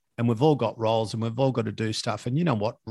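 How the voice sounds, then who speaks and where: Against a quiet background, a man with an Australian accent speaks at a medium pitch with fairly even intonation. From Australia, Victoria (Latrobe Valley). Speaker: podcast host. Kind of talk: casual chat.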